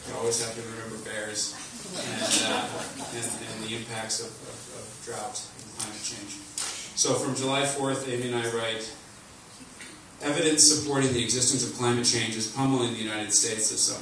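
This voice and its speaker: Amid noticeable background noise and strong room echo, a man talks at a moderate pace with fairly even intonation. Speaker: speaker. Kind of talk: speech reading a written column. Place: hall.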